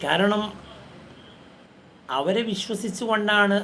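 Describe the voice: A fairly bright tone at a slow pace, with audible room echo. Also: man.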